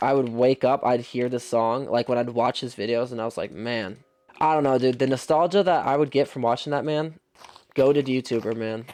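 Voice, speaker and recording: The voice has ordinary pitch variation. It moves at a fairly quick pace. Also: man. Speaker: gaming YouTuber. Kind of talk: gameplay commentary. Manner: casual slangy; fast.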